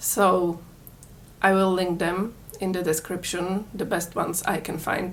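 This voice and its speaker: Flat and monotone, a woman speaks fairly slowly at a fairly low pitch. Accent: Czech. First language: Czech. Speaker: crochet tutorial maker. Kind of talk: tutorial.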